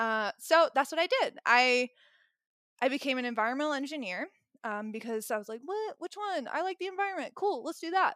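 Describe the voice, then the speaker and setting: With a slight Southern US accent, a woman speaks at a fairly quick pace in a high pitch, her bright, sharp tone animated with very wide pitch swings, the sound dry and close with no echo. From US South, rural Tennessee. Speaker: mindset and embodiment coach. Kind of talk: casual interview chat. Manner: animated, laughs often.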